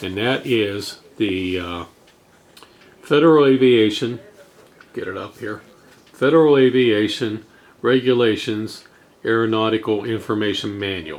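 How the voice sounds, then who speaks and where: A man talks fairly slowly, leaving long, frequent pauses, while noticeable background noise continues. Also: medium pitch for a man, ordinary pitch variation. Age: 60s. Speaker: drone hobbyist vlogger. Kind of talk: casual tutorial.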